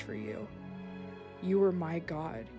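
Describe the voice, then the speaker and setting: A woman speaks with music in the background. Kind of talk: spoken word poetry. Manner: unscripted, raw, some stumbling.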